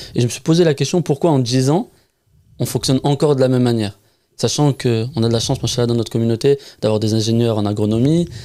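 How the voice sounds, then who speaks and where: On a very clean recording with a silent background, a man at medium pitch talks at a very fast pace. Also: ordinary pitch variation. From southern France. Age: 20s. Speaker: charity founder. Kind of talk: interview.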